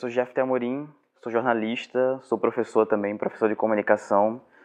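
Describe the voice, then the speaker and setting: The speech moves at a moderate pace in a flat, monotone delivery. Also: man, medium pitch for a man. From Brazil, Cabo de Santo Agostinho, Pernambuco. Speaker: journalist and professor. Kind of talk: testimony.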